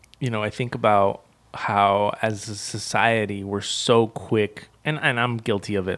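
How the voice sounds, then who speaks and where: A man speaks in a plain, everyday voice, fairly low in pitch, with fairly even intonation. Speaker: podcast co-host. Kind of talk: casual banter.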